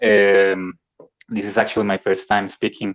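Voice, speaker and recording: A man with a Spanish accent speaks at a fairly quick pace, the sound dry and close with no echo. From Colombia. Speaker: independent filmmaker. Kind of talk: casual chat. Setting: live online audio room. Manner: halting.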